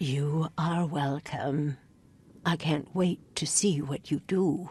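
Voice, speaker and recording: A put-on character voice at a middle pitch, very slow in pace. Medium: video game. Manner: cryptic, portentous.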